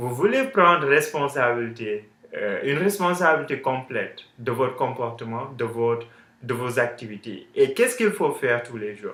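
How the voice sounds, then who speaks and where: With an English accent, a man talks at a fairly high pitch. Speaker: online business coach. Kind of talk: tutorial. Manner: halting, many fillers.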